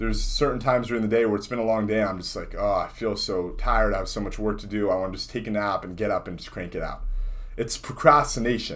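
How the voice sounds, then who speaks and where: A man speaks at a very fast pace and a medium pitch, with ordinary pitch variation. Audible room echo surrounds his voice. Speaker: entrepreneur vlogger. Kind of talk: casual vlog monologue. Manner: unscripted, one take with fumbles.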